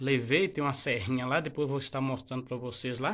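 Using an ordinary speaking voice, a man talks at a fairly quick pace with a fairly high pitch and ordinary pitch variation. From rural Brazil, born and raised on this farm. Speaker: vlogger, builder of his farm house; vlogger. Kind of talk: casual vlog, home building tour; casual vlog chat. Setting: outdoors on a farm. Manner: informal, filler-heavy. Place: open country. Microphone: phone near.

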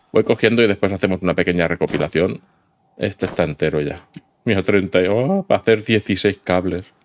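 With a Spanish accent, a man speaks at a moderate pace in a fairly low pitch with ordinary pitch variation, and the sound is dry and close with no echo. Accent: Peninsular Spanish. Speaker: gaming YouTuber. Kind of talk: let's play commentary. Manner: animated.

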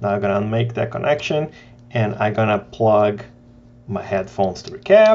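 A man's fairly low, slightly mellow voice at a moderate pace, full of big pitch swings.

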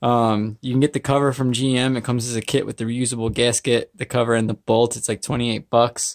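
A man talks in a flat, monotone way against a quiet background. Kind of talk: tutorial. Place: garage.

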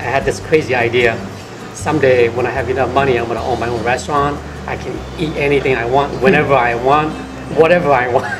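With music in the background, a man talks at a very fast pace with fairly even intonation. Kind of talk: interview answer. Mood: warm, reflective. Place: cafe.

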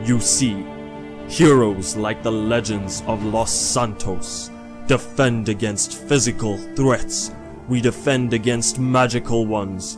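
Clear music plays in the background. A man with a fairly low pitch speaks at a fairly slow pace. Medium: machinima. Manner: solemn, instructive, encouraging.

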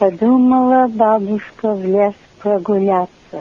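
In an Alaskan accent, a woman of medium pitch speaks very slowly with fairly even intonation. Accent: Ninilchik Russian dialect. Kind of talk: poetry reading.

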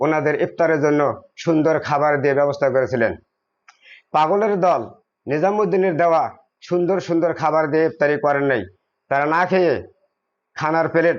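This man has a plain, everyday voice, fairly high in pitch, with ordinary pitch variation and very even loudness. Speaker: Sufi devotee speaking at a shrine gathering. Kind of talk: religious talk to a gathering. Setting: shrine gathering with audience.

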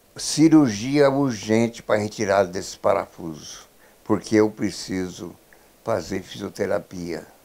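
A man's fairly low voice with a dark, mellow tone and lively intonation, at a fairly slow pace. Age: 70s. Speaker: patient. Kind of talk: news interview testimony. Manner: halting. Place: home room. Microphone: handheld.

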